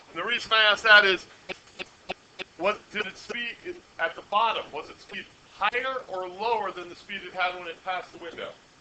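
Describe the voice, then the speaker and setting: Amid noticeable background noise, a man speaks in a raised, projected, high-pitched voice at a fairly quick pace, with fairly even intonation and long, frequent pauses. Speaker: high school physics teacher. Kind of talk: classroom lecture. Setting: classroom with students. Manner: loud.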